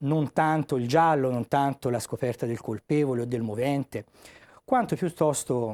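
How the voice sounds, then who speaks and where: In a Tuscan accent, a man talks at a moderate pace with a medium pitch and a dark, mellow tone. The recording is very clean and dry, close with no echo, over a silent background. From Tuscany. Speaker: author and magistrate. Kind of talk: TV interview. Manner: measured, with hesitations.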